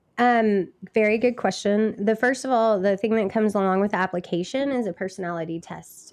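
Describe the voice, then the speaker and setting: Over a quiet background, a woman with a fairly high pitch speaks at a fairly quick pace with ordinary pitch variation. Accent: American. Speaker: cleaning business owner. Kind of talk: casual interview chat.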